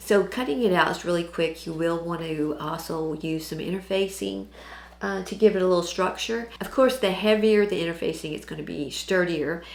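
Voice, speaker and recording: With an American accent, the speaker talks at a moderate pace with ordinary pitch variation, amid audible room echo and noticeable background noise. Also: woman, fairly low pitch for a woman. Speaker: sewing channel host. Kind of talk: tutorial. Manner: casual with fillers.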